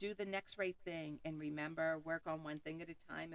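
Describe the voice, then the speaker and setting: Her voice is loud, with a bright, sharp tone, as the woman speaks at a moderate pace. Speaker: podcast host and self-help author. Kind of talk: motivational monologue with affirmations. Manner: boisterous.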